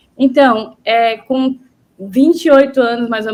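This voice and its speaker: Fairly slow, fairly evenly intoned speech from a woman pitched high. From interior of Bahia, Brazil. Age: 30s. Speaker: visual artist. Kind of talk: interview.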